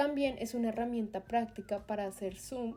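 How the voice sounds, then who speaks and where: With music in the background, a woman speaks at a fairly quick pace and fairly high pitch, using ordinary pitch variation. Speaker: video editing tutor. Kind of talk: software tutorial narration.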